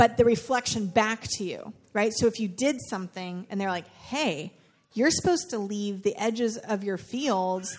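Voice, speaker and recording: At a moderate pace comes a normal speaking voice. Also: woman. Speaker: church leader hosting discussion. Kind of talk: moderated group discussion.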